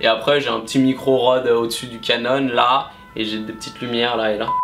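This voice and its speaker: A man is speaking with music playing in the background. Room echo can be heard. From France, Nantes. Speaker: YouTuber on sports betting. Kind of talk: casual Q&A vlog. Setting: home recording with camera and Rode mic.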